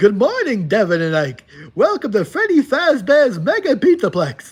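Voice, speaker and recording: A man speaks in a put-on character voice at a moderate pace. His pitch is extremely high. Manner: cheery, lisping.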